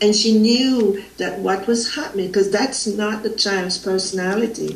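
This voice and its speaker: With a Jamaican accent, a woman talks at a fairly slow pace and fairly high pitch, over noticeable background noise and audible room echo. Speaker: spiritual facilitator. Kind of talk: interview. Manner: halting.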